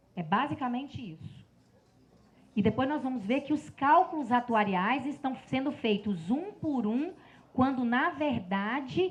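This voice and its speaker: This woman's voice sits high in pitch and swings very widely. She talks at a fairly slow pace. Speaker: lecturer on public pensions. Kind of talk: lecture. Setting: seminar with audience and slides.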